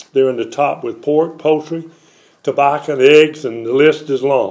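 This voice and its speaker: A man speaks in a North Carolina accent at a fairly high pitch. His pace is moderate and his intonation fairly even. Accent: US Southern, North Carolina. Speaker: former congressman; former politician. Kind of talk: press conference statement. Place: home room. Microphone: podium.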